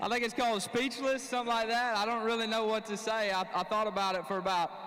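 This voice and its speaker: Talking at a very fast pace, a man with a high pitch keeps his loudness very even, while room echo is audible and background noise is noticeable. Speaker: professional bass angler. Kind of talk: on-stage interview. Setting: stage with audience. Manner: halting.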